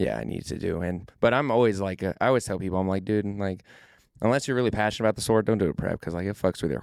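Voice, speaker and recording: Recorded very cleanly against a silent background, a man with a very deep, low pitch and ordinary pitch variation speaks at a very fast pace. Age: 20s. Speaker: natural pro bodybuilder. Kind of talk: podcast interview. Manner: energetic.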